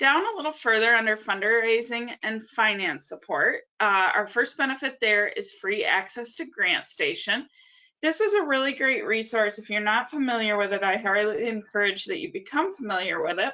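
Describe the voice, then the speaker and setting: A woman's ordinary speaking voice, fairly high in pitch, with lively intonation at a moderate pace. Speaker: nonprofit association staff presenter. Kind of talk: webinar tutorial. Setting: online webinar with screen share.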